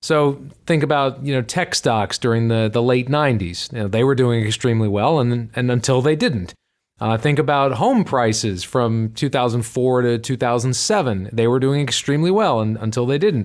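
A man talks at a moderate pace and medium pitch. His pitch varies in an ordinary way. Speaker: financial advisor and author. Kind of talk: casual chat. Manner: hesitant with filler words.

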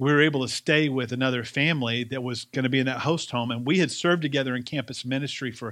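A man with a slight Southern US accent speaks at a very fast pace. His intonation is fairly even, and the background is quiet. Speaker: pastor. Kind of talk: sermon. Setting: church.

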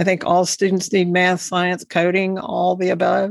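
Speaking at a fairly slow pace, a woman talks with a Texan accent. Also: very clean recording, silent background. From Texas Panhandle. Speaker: education advocate and podcast host. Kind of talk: interview.

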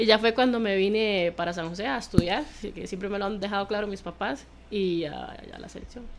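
Loudness swings a lot in this fairly quick speech, which has ordinary pitch variation and noticeable background noise. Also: woman, medium pitch for a woman. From Costa Rica, San Carlos. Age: 20s. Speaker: footballer. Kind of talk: radio interview.

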